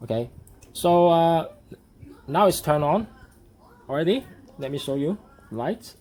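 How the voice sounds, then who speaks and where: With lively intonation and long, frequent pauses, a man talks at a moderate pace in a fairly high voice. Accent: non-native. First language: not English. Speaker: hobbyist model builder. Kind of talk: tutorial. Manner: halting.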